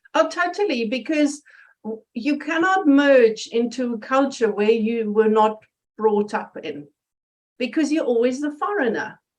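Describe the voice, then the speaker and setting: This woman has a German accent and a high pitch. Her pace is fairly slow and her intonation lively. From Germany. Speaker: interview guest, personal development presenter. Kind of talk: interview. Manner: animated.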